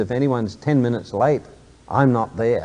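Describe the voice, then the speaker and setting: Delivered at a moderate pace, the voice has a dark, mellow tone. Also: man. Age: 60s. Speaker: motivational speaker, businessman. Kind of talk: motivational talk to an audience.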